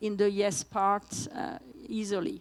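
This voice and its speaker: The woman's pitch is fairly high. She speaks at a fairly slow pace. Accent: French. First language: French. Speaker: patient advocate and parent. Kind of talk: conference presentation. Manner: halting.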